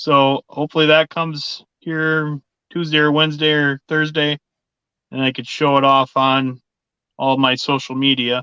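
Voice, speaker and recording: At a fairly slow pace, a man with a Minnesotan accent speaks in a fairly high pitch with a bright, sharp tone, in dry, close sound with no echo and a quiet background. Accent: Minnesota. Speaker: sports card collector, live show co-host. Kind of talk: casual chat. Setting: live stream.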